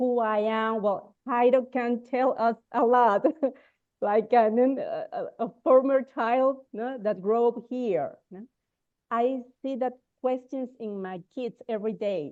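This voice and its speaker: A woman's high pitch in a Spanish accent, at a very slow pace with ordinary pitch variation and big swings in loudness. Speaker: counselor. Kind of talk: webinar panel discussion. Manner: halting.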